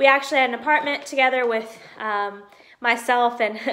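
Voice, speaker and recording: High-pitched and with fairly even intonation, a woman speaks with a Southern US accent. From US South. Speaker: YouTuber, Disney pin collector; collector vlogger. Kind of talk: casual vlog, unboxing; casual vlog chat. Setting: at home. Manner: hesitant, many fillers. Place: home room. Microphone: phone near.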